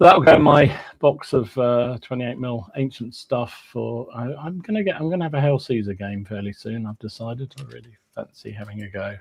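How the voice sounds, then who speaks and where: With an English accent, a man talks at a fairly quick pace in a medium pitch, his loudness swinging widely while his pitch varies in an ordinary way. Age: 60s. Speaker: podcast co-host, hobby wargamer. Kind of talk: casual chat.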